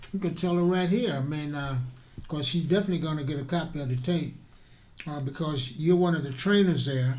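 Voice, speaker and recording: Audible room echo follows a man speaking at a fairly quick pace, his pitch fairly high with ordinary pitch variation. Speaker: talk show host. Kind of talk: interview. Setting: studio.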